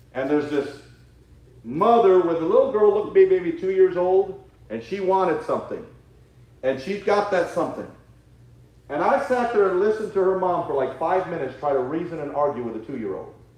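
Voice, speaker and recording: Loud and fairly quick, a man with a high voice and lively intonation speaks with long, frequent pauses in a room with audible echo. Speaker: Sunday school teacher. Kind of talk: sermon. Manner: halting.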